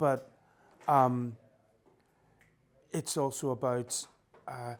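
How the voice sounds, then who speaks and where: Very slowly and with fairly even intonation, a man with a Northern Irish accent speaks at a medium pitch. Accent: Northern Irish, noticeable. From Northern Ireland, Belfast. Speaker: musician and music promoter. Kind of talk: radio interview. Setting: radio studio, on a sofa.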